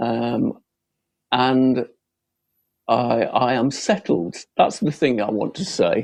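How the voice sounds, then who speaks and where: Speech in a Lancashire accent comes at a very slow pace. Long, frequent pauses break it up. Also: man. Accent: northern English (Lancashire). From Bolton, Lancashire, northern England. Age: 70s. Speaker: local election candidate. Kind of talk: campaign closing speech.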